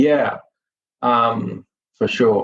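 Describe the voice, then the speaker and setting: A man speaks with a Sydney accent. His pitch sits in the medium range. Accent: Australian (Sydney). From Australia, Sydney. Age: 50s. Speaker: film industry professional and author. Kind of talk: podcast interview.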